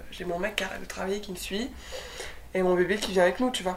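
Audible room echo surrounds a woman's voice as she speaks. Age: 20s. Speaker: young mother and documentary producer. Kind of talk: casual interview chat.

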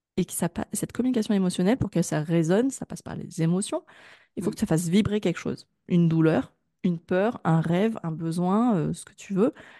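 In an ordinary speaking voice, the speaker moves at a fairly quick pace with ordinary pitch variation, the sound dry and close with no echo over a quiet background. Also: woman, medium pitch for a woman. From France, Grenoble. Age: 30s. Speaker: digital marketing consultant. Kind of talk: interview.

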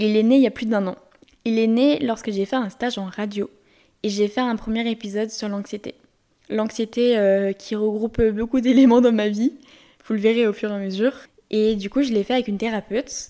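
In a Lyon accent, the voice carries a dark, mellow tone and fairly even intonation. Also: woman. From France, Lyon. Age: 20s. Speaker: podcast host. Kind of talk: solo podcast monologue. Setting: home recording in bedroom. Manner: poor articulation; monotone storytelling.

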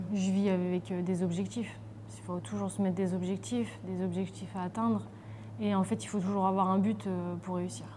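At a moderate pace, a woman with a fairly low pitch and a dark, mellow, somewhat breathy tone speaks with very wide pitch swings. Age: 30s. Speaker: professional footballer. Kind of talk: casual interview.

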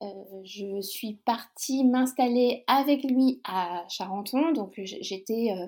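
The voice has a dark, mellow tone with ordinary pitch variation. The recording is very clean, with a silent background. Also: woman. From Brittany, France (near Brest). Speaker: guest describing her lifestyle. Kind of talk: casual interview chat. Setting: recording from her houseboat. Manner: hesitant, many repetitions.

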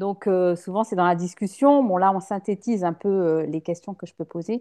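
A woman talks at a moderate pace and medium pitch, with ordinary pitch variation. The sound is dry and close, with no echo. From western France, La Rochelle. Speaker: interior decorator. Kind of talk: interview. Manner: hesitant, many fillers.

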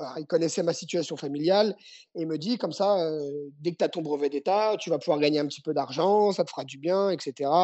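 A man talks with a high pitch. His pace is fairly quick. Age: 30s. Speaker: judo and jujitsu coach, former athlete. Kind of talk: interview. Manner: halting.

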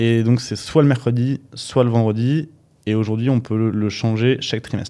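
Dark and mellow in tone, a man's voice sits at a medium pitch, moving at a moderate pace with fairly even intonation. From Paris, France. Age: 30s. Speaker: startup founder and CEO. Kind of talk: casual interview chat. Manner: hesitant, many fillers.

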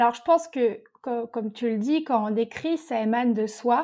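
A woman speaks at a moderate pace in a high voice with a dark, mellow tone. The recording is very clean and the background silent. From French Alps, Haute-Savoie (Morzine). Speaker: novelist and dietitian. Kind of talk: interview.

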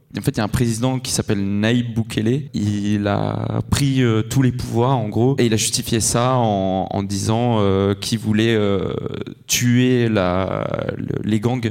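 Over noticeable background noise, a fairly low-pitched man speaks at a very slow pace with fairly even intonation. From Switzerland. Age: 20s. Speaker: traveller. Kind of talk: live interview. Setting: stage with audience.

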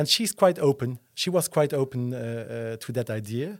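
A man speaks with a Luxembourgish accent. His pitch is medium and his pace moderate. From Luxembourg, Esch-sur-Alzette. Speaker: entrepreneur and property developer. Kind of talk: interview. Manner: halting, many fillers.

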